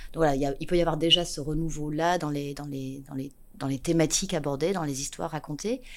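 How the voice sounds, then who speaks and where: This woman talks at a very fast pace in a very deep, low voice. Her intonation stays fairly even while her loudness swings widely. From southwest France (Landes). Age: 40s. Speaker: theatre studies professor. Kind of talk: interview. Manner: halting.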